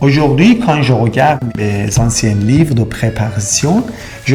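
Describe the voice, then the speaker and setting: Over music in the background, a man talks fairly slowly with ordinary pitch variation. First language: Persian and Turkish (speaking French). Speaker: immigration consultant. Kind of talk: explainer video.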